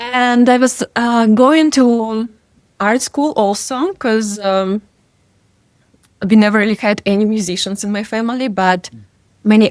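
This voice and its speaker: At a fairly slow pace, a woman of medium pitch talks with ordinary pitch variation. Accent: Russian. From Russia, Siberia. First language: Russian. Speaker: DJ and music producer. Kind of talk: interview. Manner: hesitant, many fillers.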